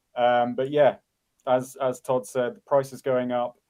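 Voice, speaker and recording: Here a man talks in an English accent. His pitch is medium and his pace moderate. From England. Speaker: conference organizer. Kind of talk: interview.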